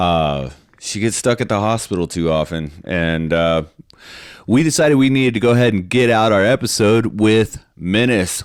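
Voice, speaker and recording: This man speaks at a moderate pace, his pitch swinging very widely. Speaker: podcast host. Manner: casual, with many filler words.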